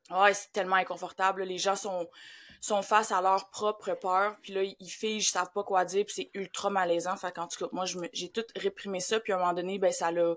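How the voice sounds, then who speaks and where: A woman speaks with a Quebec accent in a monotone, flat intonation. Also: medium pitch for a woman, moderate pace. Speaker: grief facilitator. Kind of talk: podcast interview.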